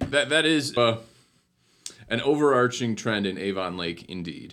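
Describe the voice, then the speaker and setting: In a very clean recording with a silent background, a man talks with lively intonation. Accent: American. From Northeast Ohio, Cleveland Heights. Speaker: city community development director. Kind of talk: interview. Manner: hesitant with repetitions.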